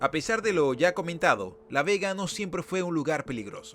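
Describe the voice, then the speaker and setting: Lively intonation and a moderate pace mark this voice in a Venezuelan accent. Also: man. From Venezuela, Caracas. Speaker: YouTube documentary host. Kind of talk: documentary narration.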